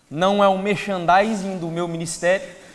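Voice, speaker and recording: Over noticeable background noise and audible room echo, a man speaks with a high pitch. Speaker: preacher. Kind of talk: sermon. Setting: church.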